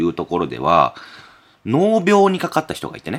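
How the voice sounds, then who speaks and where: There is vocal fry in this man's voice. The pitch moves up and down over a very wide range. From Okayama, Japan. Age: 40s. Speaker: podcast host. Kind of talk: casual chat.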